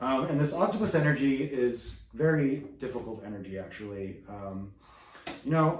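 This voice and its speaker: Very wide pitch swings amid audible room echo and noticeable background noise. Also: man. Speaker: tarot reader. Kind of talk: tarot reading. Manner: whispering; hesitant, many fillers.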